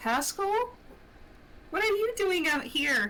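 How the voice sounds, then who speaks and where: A woman's put-on, squeaky character voice at an extremely high pitch, fairly slow in pace, with clear background noise. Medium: actual play.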